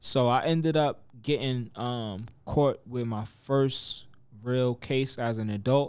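A man talks at a very slow pace with a New York accent. His pitch is medium and his intonation fairly even. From New York (Mount Vernon, Westchester). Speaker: rapper. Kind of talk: casual interview.

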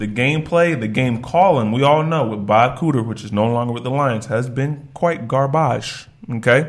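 Audible room echo surrounds a man's voice. He speaks with hardly any pauses. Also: medium pitch for a man, ordinary pitch variation, moderate pace. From Virginia, US. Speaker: podcast co-host. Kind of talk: casual chat.

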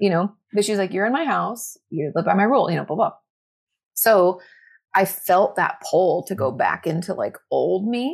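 A woman with an American accent speaks at a medium pitch and a moderate pace, with lively intonation and vocal fry. The recording is very clean, with a silent background. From US Northwest, Washington State. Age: 30s. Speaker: therapist and mental health content creator. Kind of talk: casual chat.

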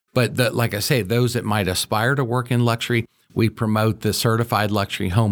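The speaker has a Midwestern American accent and a fairly quick pace, with fairly even intonation and very even loudness. The sound is dry and close with no echo, on a very clean recording with a silent background. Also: man. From Cincinnati, Ohio. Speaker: real estate executive. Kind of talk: interview.

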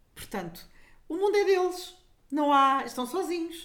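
A woman speaks at a moderate pace. There is audible echo in the room. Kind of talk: casual chat.

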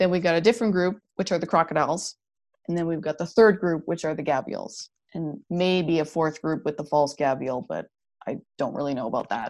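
A woman with a Canadian accent, fairly low in pitch with ordinary pitch variation, at a fairly quick pace over a quiet background. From Canada (Alberta). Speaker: paleontologist. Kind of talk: interview. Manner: animated.

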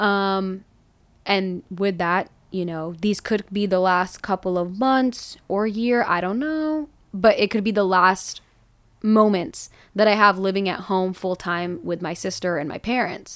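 A woman at a medium pitch, an ordinary speaking voice, ordinary pitch variation and a fairly slow pace. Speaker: podcast co-host. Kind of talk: casual chat.

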